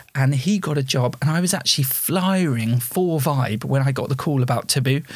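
The man's voice sits at a fairly high pitch and sounds somewhat breathy. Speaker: theatre performer and theatre school owner. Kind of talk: casual chat.

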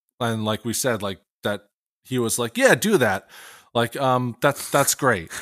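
A man with an American accent and an ordinary speaking voice talks at a fairly slow pace, medium in pitch with ordinary pitch variation. The recording is very clean with a silent background and a dry, close sound with no echo. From Pennsylvania. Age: 30s. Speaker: music podcast co-host. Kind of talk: casual podcast chat.

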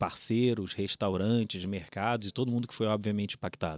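In a Rio de Janeiro accent, the speech comes with fairly even intonation, dry and close with no echo, on a very clean recording with a silent background. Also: man. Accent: carioca. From Rio de Janeiro, Brazil. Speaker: company innovation director. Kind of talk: interview conversation.

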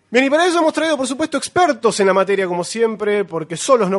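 Pitch swings very widely as a man speaks. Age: 30s. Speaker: podcast host. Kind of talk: casual chat.

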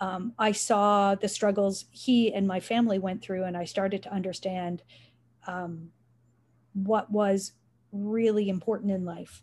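On a very clean recording with a silent background, a woman talks at a fairly slow pace in a somewhat breathy, medium-pitched voice with monotone, flat intonation. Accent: Canadian. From Canada, Richmond Hill, Ontario. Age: 50s. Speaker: nonprofit foundation president. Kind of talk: interview.

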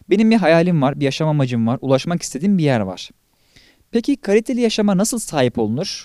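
A man talks very fast in a dark, mellow tone with lively intonation, the sound dry and close with no echo on a very clean recording with a silent background. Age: 20s. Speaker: podcast host, personal development content creator. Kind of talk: solo monologue podcast.

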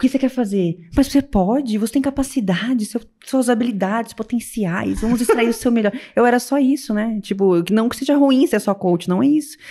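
A woman's dark, mellow voice, fairly high in pitch, at a moderate pace with ordinary pitch variation. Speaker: weight-loss coach. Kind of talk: casual chat. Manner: talkative.

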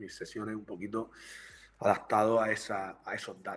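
This is a man speaking. His pitch is fairly low. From Murcia, Spain. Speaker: university lecturer and researcher. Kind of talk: live-streamed interview.

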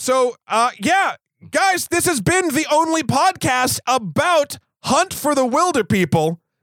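Extremely high-pitched man's voice at a very slow pace, with very wide pitch swings, very even loudness and a dry, close sound with no echo. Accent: American. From New Hampshire, US. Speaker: podcast host, film reviewer. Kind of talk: casual chat.

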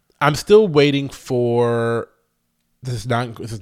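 An animated tone from a man. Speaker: podcast co-host. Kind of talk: casual chat. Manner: animated, chatty.

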